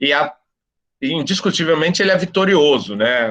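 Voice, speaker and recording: A man's plain, everyday voice, lively intonation and a moderate pace over a quiet background. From São Paulo, Brazil (east zone). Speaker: professor. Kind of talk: guest talk in discussion circle.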